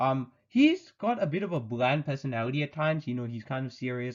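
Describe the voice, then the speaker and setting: A man at medium pitch and a very fast pace. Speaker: anime reviewer. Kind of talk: video review monologue. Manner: mumbling; casual, rambling with self-corrections.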